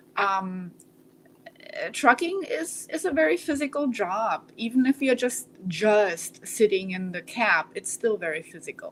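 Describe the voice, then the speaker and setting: A woman with a German accent speaks at a fairly slow pace and a fairly high pitch, with very wide pitch swings. Her loudness swings widely, and there is noticeable background noise. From Germany. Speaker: trucker and breast cancer survivor. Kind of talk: interview.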